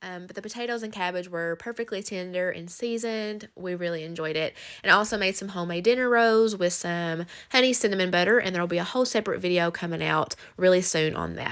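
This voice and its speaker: A woman talks at a very fast pace with a Southern US accent. Her pitch sits in the medium range and shows ordinary variation. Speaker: cooking vlogger. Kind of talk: recipe tutorial voiceover. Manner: casual, chatty.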